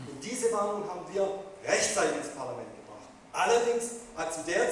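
Under strong room echo and light background noise, a man speaks in a high pitch. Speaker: politician. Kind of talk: panel discussion answer. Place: hall. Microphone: pa.

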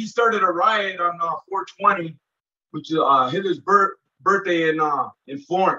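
A man uses a raised, projected voice at a very slow pace with ordinary pitch variation. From Minnesota. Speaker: former federal prisoner; interview guest. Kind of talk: interview, casual recounting of prison life. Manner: halting, with many fillers and repeats. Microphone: video call.

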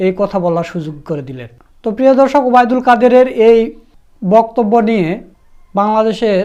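With a dark, mellow tone and high pitch, a man speaks with lively intonation and big swings in loudness. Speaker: YouTube news channel host. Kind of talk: news commentary.

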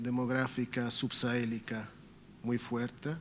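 Very slowly and in a flat monotone, a man talks over light background noise. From Italy. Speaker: government official. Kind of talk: formal speech. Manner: halting. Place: hall.

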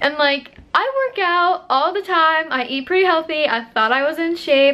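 A woman speaks at an extremely high pitch. Her pace is moderate. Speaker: vlogger. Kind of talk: casual vlog chat. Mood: amused, storytelling. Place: home room. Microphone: phone near.

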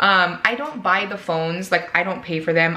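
A woman speaking at a fairly quick pace, with ordinary pitch variation. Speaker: vlogger. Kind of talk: casual vlog chat. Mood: upbeat, excited. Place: kitchen. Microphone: camera far.

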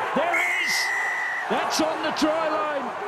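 Noticeable noise is present in the background. Over it, a man talks. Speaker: match commentator. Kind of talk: live sports commentary, play-by-play. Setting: stadium commentary, broadcast.

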